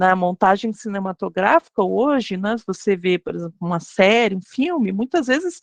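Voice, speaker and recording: Ordinary pitch variation marks a woman's speech. She keeps to a moderate pace. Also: dry, close sound with no echo. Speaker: university lecturer teaching a course for teachers. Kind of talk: online lecture. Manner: hesitant, many fillers.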